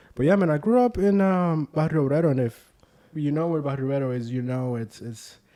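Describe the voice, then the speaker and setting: With a Spanish accent, a man speaks at a fairly quick pace with lively intonation. His voice is fairly high in pitch, with a dark, mellow tone. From Puerto Rico, San Juan (Santurce). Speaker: community leader. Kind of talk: casual interview chat.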